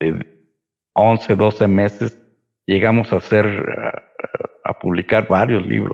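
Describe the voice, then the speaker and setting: A man's very slow, monotone, flat delivery, fairly low in pitch, with vocal fry and long, frequent pauses. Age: 60s. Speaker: historian and city chronicler. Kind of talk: interview conversation.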